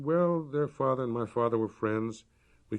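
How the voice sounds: A natural reading voice delivers the passage.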